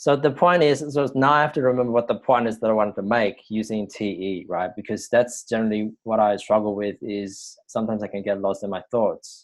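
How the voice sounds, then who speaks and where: Against a quiet background, a man with a medium pitch talks at a fairly quick pace, using ordinary pitch variation and hardly any pauses. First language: not English. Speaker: personal growth coach. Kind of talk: vlog-style teaching monologue. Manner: hesitant, many fillers.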